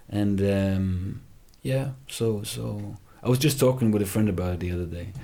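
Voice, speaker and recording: A man's fairly low voice with a dark, mellow tone and lively intonation, plus audible room echo. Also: moderate pace. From Germany, Heidelberg near Frankfurt. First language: German. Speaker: rapper. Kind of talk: casual interview chat. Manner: hesitant, many fillers and restarts.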